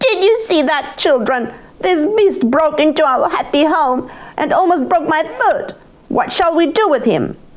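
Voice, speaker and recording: A female-sounding, put-on character voice, shrill and high-pitched for a woman, delivered at a moderate pace. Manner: angry, mocking.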